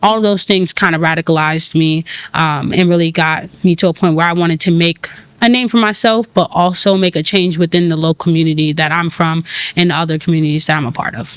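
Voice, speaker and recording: Very fast pace with a New York accent. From New York City, Brooklyn. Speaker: tech founder and community organizer. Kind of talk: podcast interview. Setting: cafe.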